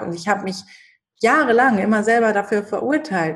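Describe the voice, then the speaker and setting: Her voice is somewhat breathy and fairly high. This woman's pitch varies in an ordinary way. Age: 30s. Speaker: shaman and spiritual coach. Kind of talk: interview.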